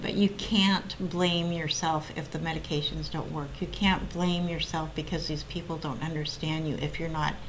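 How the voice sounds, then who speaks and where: A woman with an American accent speaks at a moderate pace in a fairly low voice, with ordinary pitch variation. Noticeable background noise and audible room echo are present. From US Pacific Northwest (Oregon). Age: 60s. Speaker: mental health advocate sharing personal story. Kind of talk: interview testimony.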